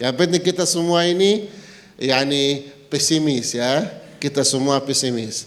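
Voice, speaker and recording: A man with an Arabic accent, fairly high pitch and ordinary pitch variation, amid noticeable background noise and audible room echo. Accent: Arabic accent in Indonesian. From Palestine. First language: Arabic (speaking Indonesian). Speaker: visiting Palestinian sheikh. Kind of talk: religious talk. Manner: halting, non-fluent Indonesian.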